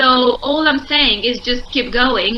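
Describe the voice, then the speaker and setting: Speaking in a Romanian accent, a woman projects a raised, high-pitched voice at a fairly slow pace with fairly even intonation over noticeable background noise. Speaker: entrepreneur. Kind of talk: interview.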